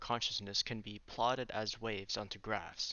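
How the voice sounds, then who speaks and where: With an unremarkable speaking voice, a man talks at medium pitch and a moderate pace. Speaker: artist. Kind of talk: casual talk to camera.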